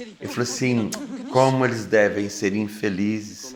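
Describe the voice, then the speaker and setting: A man is talking, his pitch varying in an ordinary way. Background noise is noticeable throughout. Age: 60s. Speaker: vegetarian activist. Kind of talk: interview testimony.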